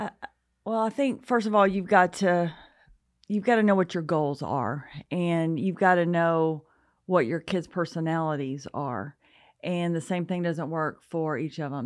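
A woman with an Alabama accent and fairly low pitch talks at a moderate pace with ordinary pitch variation against a quiet background. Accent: Southern US, Alabama. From US South, North Alabama. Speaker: parenting speaker. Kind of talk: casual interview.

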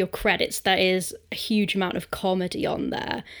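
A woman speaks at a moderate pace in a British accent. Her pitch sits in the medium range. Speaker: podcast host. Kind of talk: casual interview.

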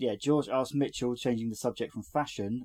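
The clip features a natural reading voice.

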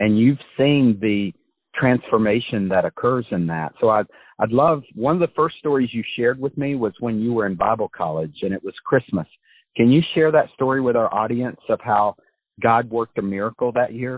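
An ordinary speaking voice, this man's has an American accent, medium pitch, ordinary pitch variation and a moderate pace. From USA. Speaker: podcast host. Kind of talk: interview.

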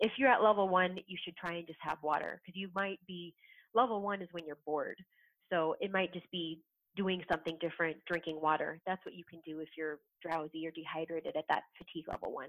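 With an American accent, a woman speaks at a fairly quick pace with big swings in loudness. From Southern California. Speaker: scientist, author and speaker. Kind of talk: interview.

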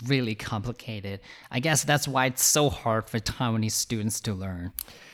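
With an unremarkable speaking voice, a man talks at a medium pitch, his pitch varying in an ordinary way. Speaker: podcast host. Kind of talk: casual interview chat.

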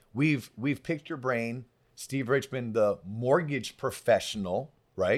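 A man's animated tone at a medium pitch, fairly slow in pace, with ordinary pitch variation. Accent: Florida. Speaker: podcast host. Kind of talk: casual interview chat. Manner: animated, excitable.

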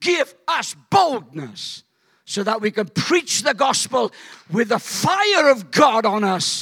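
A man's raised, projected voice, high-pitched with a bright, sharp tone, very wide pitch swings and a very slow pace. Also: very clean recording, silent background. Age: 70s. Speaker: pastor. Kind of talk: fiery charismatic revival sermon, building to shouted call-and-response. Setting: church stage with live congregation. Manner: impassioned, rising, riled-up preaching with crowd exhortations; animated storytelling with acted-out voices and laughter.

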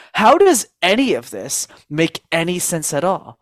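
In a Canadian accent, a man talks at a fairly high pitch with very wide pitch swings, the sound dry and close with no echo. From Montreal, Canada. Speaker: speaking coach. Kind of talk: interview.

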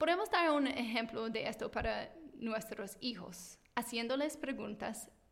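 Here a woman speaks at a fairly slow pace with an American accent. Her pitch is high. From United States. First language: English (speaking Spanish). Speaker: teacher and parenting podcast host. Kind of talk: scripted tutorial monologue.

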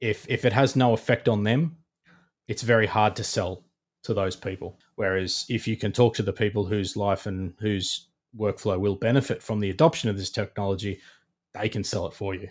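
On a very clean recording with a silent background, a man with an Australian accent speaks at a moderate pace in a fairly low pitch with fairly even intonation. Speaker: digital engineering manager at a contractor. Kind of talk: interview.

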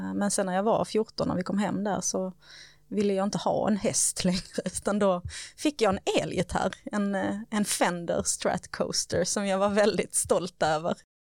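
Speaking at a fairly slow pace, a woman uses an ordinary speaking voice with medium pitch and fairly even intonation. The recording is very clean, with a silent background. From Sweden, Skåne (Höganäs). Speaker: sustainability manager at a sports club. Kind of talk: casual interview.

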